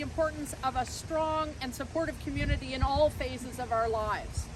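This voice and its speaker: A woman speaks loudly at a moderate pace. There is noticeable background noise. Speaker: conference center executive. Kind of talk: public speech at outdoor event. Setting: outdoors at event site.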